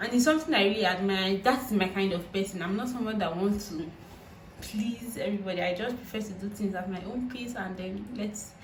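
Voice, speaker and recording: With a Nigerian accent and a medium pitch, a woman speaks at a fairly quick pace with ordinary pitch variation, amid audible room echo and noticeable background noise. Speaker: YouTuber. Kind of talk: vlog monologue. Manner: halting.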